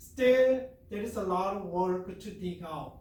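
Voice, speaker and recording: Through audible room echo, a man with a high-pitched voice speaks very slowly with a Korean accent. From South Korea. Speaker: professor. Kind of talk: lecture. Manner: halting.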